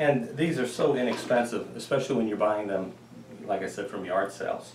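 Ordinary pitch variation comes through over light background noise and audible room echo. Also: man. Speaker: woodworking homesteading channel host. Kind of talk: tutorial. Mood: relaxed, friendly. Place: workshop.

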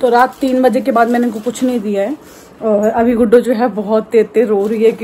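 Light background noise sits under a woman speaking at a moderate pace with fairly even intonation. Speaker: mother vlogger. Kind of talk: casual vlog chat. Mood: slightly anxious, busy. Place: home room. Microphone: phone near.

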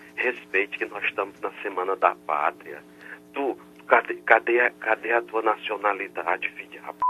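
This man's loudness swings widely as he talks at a moderate pace. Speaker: prank call victim. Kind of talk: angry phone call. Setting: phone call. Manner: angry, cursing.

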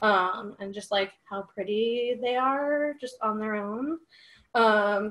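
Shaky and nervous in tone, a woman speaks very slowly at a fairly high pitch with ordinary pitch variation. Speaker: photographer. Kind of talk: casual chat. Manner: nervous, shaky-sounding speech; halting with many fillers.

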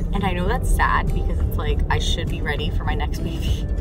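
The speaker talks at a fairly quick pace, and the sound is dry with no echo. Loud music plays in the background. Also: woman. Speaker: vlogger mother. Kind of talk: casual vlog chat. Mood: relieved, a bit sad. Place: car. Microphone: phone near.

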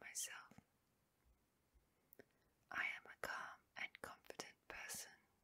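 A woman whispers very slowly in a soothing tone. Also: long, frequent pauses. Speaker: ASMR sleep hypnosis guide. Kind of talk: sleep hypnosis with affirmations. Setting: studio, close microphone. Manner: whispered, soothing, slow. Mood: calm, soothing, loving.

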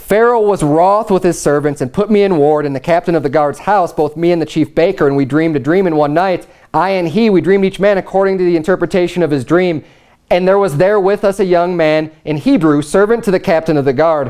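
Against a quiet background, a man speaks at a very fast pace. His pitch is high, with ordinary pitch variation. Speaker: preacher. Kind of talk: sermon. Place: home room.

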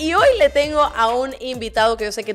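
A woman with a Cuban accent and ordinary pitch variation, faint music in the background. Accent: Cuban Spanish, dropped s, r and l. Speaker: podcast host. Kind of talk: show host introducing a guest. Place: studio. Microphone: studio mic.

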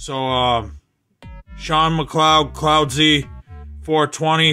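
A man's voice with fairly even intonation, faint music in the background. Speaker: card collector host. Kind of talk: casual vlog chat. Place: home room. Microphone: phone near.

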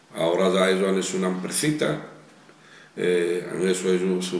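A man's very deep, low voice at a moderate pace, with audible room echo and light background noise. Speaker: retired construction businessman. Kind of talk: interview. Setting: outdoors. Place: home room. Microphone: camera far.

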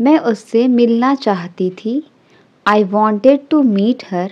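Her voice sits fairly high, and its pitch moves in an ordinary way as this woman talks. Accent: Indian. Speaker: English teacher. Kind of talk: tutorial.

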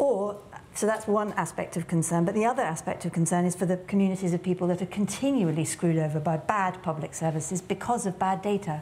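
Very fast speech with hardly any pauses and ordinary pitch variation. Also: woman. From England. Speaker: tech entrepreneur and business leader. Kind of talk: panel discussion. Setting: stage with audience. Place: studio. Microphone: lapel.

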